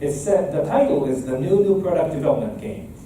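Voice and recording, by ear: In a dark, mellow tone, the voice moves at a fairly slow pace with lively intonation and audible room echo. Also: man.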